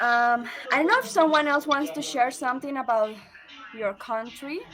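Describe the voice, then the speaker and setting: A woman with a Spanish accent speaks at a high pitch and a moderate pace with ordinary pitch variation, over noticeable background noise. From Colombia. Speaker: book club host. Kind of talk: casual group discussion.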